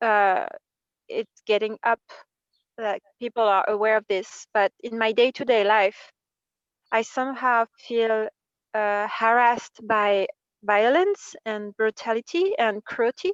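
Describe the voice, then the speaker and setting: A woman's fairly high voice with a French accent, fairly even intonation and a very slow pace, long, frequent pauses, and a dry, close sound with no echo. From France. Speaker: workshop participant. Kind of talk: personal sharing in group workshop. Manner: halting.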